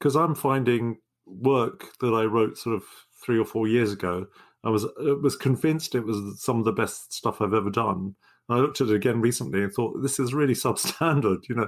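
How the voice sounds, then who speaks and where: With a normal speaking voice, a man talks at a fairly quick pace and medium pitch, using ordinary pitch variation, on a very clean recording with a silent background. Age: 60s. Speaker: poetry podcast co-host. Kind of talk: casual chat.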